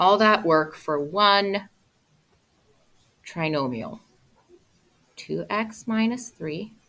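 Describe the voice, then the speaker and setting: Very slow, lively speech from a woman at a medium pitch, bright and sharp in tone, with long, frequent pauses. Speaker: high school math teacher. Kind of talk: classroom lecture.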